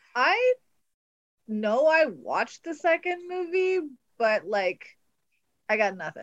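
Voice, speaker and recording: A woman's extremely high voice with very wide pitch swings, at a very slow pace with long, frequent pauses, in a dry, close sound with no echo. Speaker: podcast guest discussing movies. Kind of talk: casual chat. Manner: laughs a lot.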